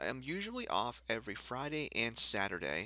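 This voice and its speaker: Soft-spoken male speech, bright and sharp, at a moderate pace on a very clean recording with a silent background. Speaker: gaming YouTuber. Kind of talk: casual vlog update. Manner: quiet, soft-spoken; hesitant, many fillers.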